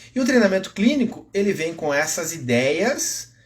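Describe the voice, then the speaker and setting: A man talking at a fairly slow pace. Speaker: physiotherapist and fitness educator. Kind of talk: live-stream lecture. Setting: Instagram live stream. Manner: gets louder when excited.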